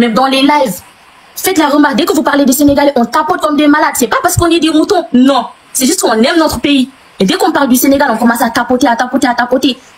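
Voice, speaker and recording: Very fast and with lively intonation, a woman speaks over noticeable background noise. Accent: Senegalese. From Senegal. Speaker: guest on a live stream. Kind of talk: heated debate. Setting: live video stream. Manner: animated.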